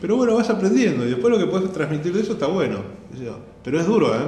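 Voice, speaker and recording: With very wide pitch swings, a man speaks in a space with audible room echo. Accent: Rioplatense. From Argentina. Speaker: stand-up comedian. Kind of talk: casual interview. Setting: comedy school room. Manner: halting.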